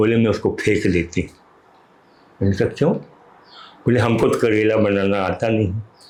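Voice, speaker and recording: Against noticeable background noise, a man with a fairly low pitch talks with fairly even intonation. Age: 70s. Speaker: writer and motivational speaker. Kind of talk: interview. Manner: limited speech ability.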